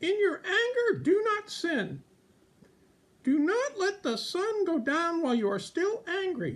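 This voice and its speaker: At a fairly slow pace, a cartoonish character voice speaks at an extremely high pitch. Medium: puppet.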